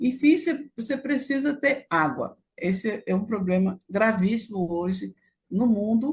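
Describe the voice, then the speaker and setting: Her voice fairly high and somewhat breathy, a woman speaks at a fairly slow pace. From Brazil, Acre (Amazon). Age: 70s. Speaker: activist and historian. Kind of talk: interview. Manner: halting, with many fillers.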